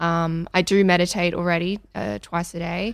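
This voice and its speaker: Recorded very cleanly against a silent background, a woman speaks at a fairly low pitch. She goes at a fairly slow pace with ordinary pitch variation. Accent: Australian. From Australia, Melbourne. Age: 20s. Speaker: young entrepreneur and yoga studio worker. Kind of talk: asking questions in an interview. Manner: hesitant with many fillers.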